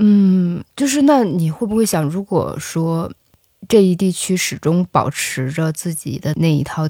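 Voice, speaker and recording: A woman speaks in a dark, mellow tone at a fairly low pitch. She goes at a fairly slow pace in a very clean recording with a silent background. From northeast China. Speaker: podcast host. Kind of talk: interview.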